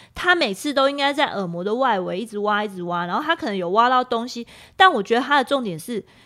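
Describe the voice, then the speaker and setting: A woman talks at a fairly quick pace in a high, bright, sharp voice. Her pitch makes very wide swings. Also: very clean recording, silent background. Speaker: podcast host. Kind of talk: casual chat. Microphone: new individual microphone.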